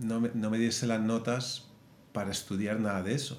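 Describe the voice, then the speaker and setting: A man speaks at a medium pitch, with audible echo from the room. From Madrid, Spain. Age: 40s. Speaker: film animator and director. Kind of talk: interview.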